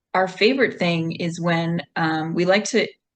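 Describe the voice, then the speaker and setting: A woman with a normal speaking voice and medium pitch talks at a fairly slow pace. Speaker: co-host of a poetry reading series. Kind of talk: casual hosting talk to an online audience. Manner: relaxed, conversational.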